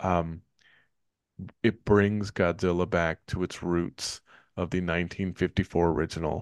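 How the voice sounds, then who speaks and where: With a Northern California accent, a man speaks at a fairly slow pace with long, frequent pauses, his pitch very deep and low and his intonation monotone and flat. The sound is dry and close with no echo, and the background is quiet. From Richmond, California. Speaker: podcast host. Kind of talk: casual chat.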